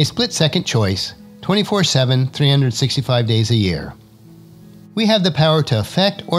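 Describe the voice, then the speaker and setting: A man speaks fairly quickly, his pitch leaping up and down very widely. Music runs beneath him. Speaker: podcast host. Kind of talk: motivational podcast talk. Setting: studio.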